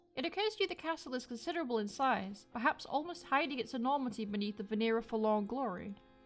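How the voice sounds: A fast pace and ordinary pitch variation over faint music in the background. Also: woman, fairly high pitch for a woman.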